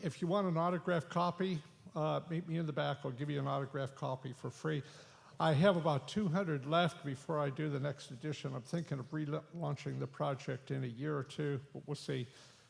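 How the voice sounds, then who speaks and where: Pitched fairly high, a man talks in a voice that is somewhat breathy. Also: ordinary pitch variation, fairly quick pace. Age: 80s+. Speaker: author giving away books at a conference. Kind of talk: announcement to conference audience.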